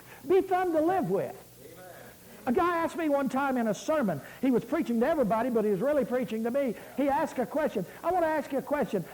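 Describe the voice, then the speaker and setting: Over noticeable background noise, a man talks at a very fast pace with an extremely high pitch, lively intonation and very even loudness. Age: 60s. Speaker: pastor. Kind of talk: sermon.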